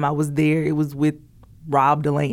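A woman speaks at a moderate pace in a Southern US accent. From US South; Columbus, Georgia. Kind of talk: casual chat. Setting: studio.

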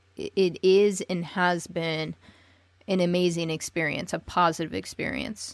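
An American accent at a fairly slow pace. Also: woman, fairly low pitch for a woman. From United States. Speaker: podcast host. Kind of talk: interview. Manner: animated.

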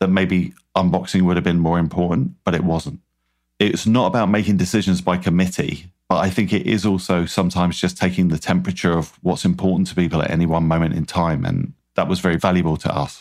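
With a British accent, a man speaks very fast at a very deep, low pitch with ordinary pitch variation, on a very clean recording with a silent background. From British Isles. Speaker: food company founder. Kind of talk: interview. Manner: charismatic.

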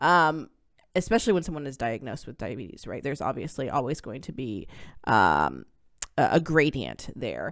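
Pitch swings very widely and loudness shifts in big swings, with an animated tone and vocal fry. The pace is moderate, and the recording is very clean with a silent background. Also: woman, very deep, low pitch for a woman. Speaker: academic researcher and podcast host. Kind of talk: casual chat.

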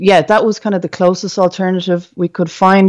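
A woman with an Irish accent against a quiet background. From Ireland. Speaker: entrepreneur and school psychologist. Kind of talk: interview. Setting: remote recording.

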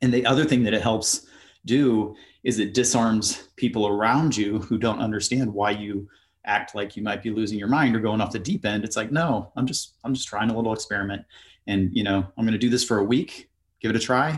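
The speaker has a US Midwestern accent and talks at a fairly quick pace. Intonation stays fairly even. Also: man. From US Midwest, Ohio. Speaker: author and traveler. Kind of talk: podcast interview.

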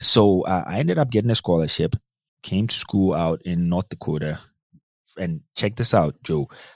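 A man with a Ghanaian accent talks at a moderate pace with lively intonation. His very deep, low voice sounds dry and close, with no echo. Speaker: cybersecurity consultant. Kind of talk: casual interview chat.

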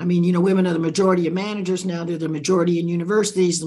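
Talking at a very fast pace, a woman uses a fairly low pitch. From Central America (Nicaragua). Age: 80s+. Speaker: author and leadership expert. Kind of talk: interview conversation.

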